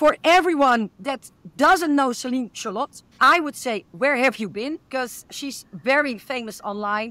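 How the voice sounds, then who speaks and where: A woman speaks with a Dutch accent in a bright, sharp tone, her voice dry and close with no echo on a very clean recording over a silent background. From Netherlands. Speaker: podcast host. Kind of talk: interview.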